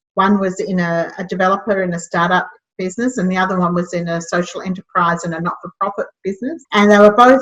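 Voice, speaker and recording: A woman talks at a fairly quick pace in an Australian accent. Her voice is somewhat breathy and sits at a medium pitch. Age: 60s. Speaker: social enterprise founder. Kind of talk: interview.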